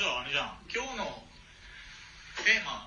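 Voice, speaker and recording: The speech moves at a fairly quick pace. Noticeable background noise and audible room echo are present. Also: man. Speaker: podcast co-host. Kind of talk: casual chat. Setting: remote recording via app. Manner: fast.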